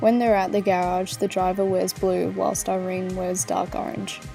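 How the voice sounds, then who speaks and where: Against music in the background, a woman speaks at a medium pitch and moderate pace with ordinary pitch variation. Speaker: university student. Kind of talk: video essay narration.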